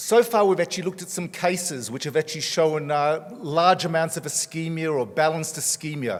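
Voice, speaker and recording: In an Australian accent, a man talks at a fairly quick pace with hardly any pauses. His pitch is fairly high with ordinary variation, and there is noticeable background noise. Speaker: cardiologist. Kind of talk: conference talk.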